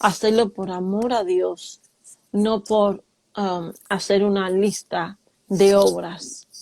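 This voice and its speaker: A woman speaks at a medium pitch with a dark, mellow tone and a monotone, flat intonation. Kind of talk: casual talk show summary. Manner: slow, deliberate.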